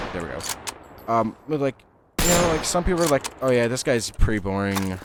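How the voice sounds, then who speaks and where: A man talks at a fairly quick pace and a medium pitch with very wide pitch swings, over noticeable background noise. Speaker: gaming youtuber. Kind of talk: gameplay commentary, casual rambling. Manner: halting, many fillers; casual, rambling.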